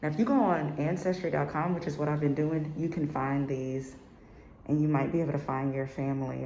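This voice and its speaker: With light background noise and audible room echo, a woman talks at a fairly quick pace. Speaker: vlogger. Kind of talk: walking tour vlog narration. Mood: restrained frustration, reflective. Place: home room. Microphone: phone near.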